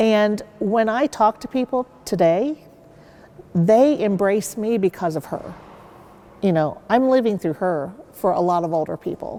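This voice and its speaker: With a Midwestern US accent, a woman speaks at a fairly slow pace in a medium pitch, her tone dark and mellow and her intonation lively. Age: 60s. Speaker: university sports mascot performer. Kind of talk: interview.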